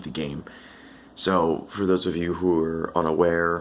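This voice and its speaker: A man speaks quietly. His pitch is very deep and low. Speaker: gaming commentator. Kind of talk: casual talk to camera.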